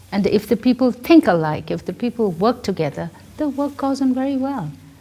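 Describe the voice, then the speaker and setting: This woman's dark, mellow, somewhat breathy voice swings very widely in pitch. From Tibet. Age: 70s. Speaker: director of a nonprofit for nuns. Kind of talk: interview. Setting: filmed interview with students. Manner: halting, with repetitions and fillers.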